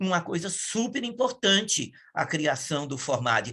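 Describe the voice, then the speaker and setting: A man's voice has a bright, sharp tone and lively intonation. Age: 60s. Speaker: environmental activist. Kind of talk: interview testimony. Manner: halting, many fillers and self-corrections.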